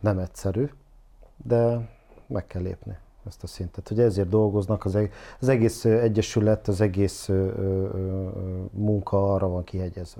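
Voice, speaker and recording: The intonation stays fairly even. Long pauses come often. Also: man, fairly low pitch for a man. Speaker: football analyst guest. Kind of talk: casual discussion. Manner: halting, filler-heavy.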